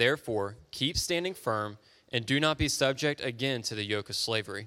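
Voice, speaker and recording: A man's ordinary speaking voice with lively intonation at a moderate pace, on a very clean recording with a silent background. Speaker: scripture reader. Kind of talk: reading aloud. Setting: church.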